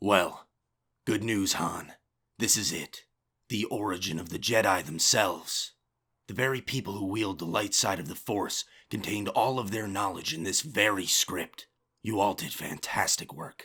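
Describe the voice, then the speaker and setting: On a very clean recording with a silent background, a man does a put-on character voice at a fairly low pitch. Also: moderate pace. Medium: audio drama. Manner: calm, measured.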